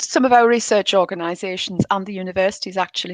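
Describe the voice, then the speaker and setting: A woman talks at a very fast pace. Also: dry, close sound with no echo, quiet background. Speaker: local council officer. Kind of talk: presentation and Q&A. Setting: online livestreamed event.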